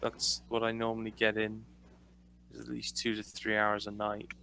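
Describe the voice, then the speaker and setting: A man with a British accent speaks at a fairly low pitch. His tone is bright and sharp. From Britain. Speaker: podcast co-host, streamer. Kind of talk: casual chat.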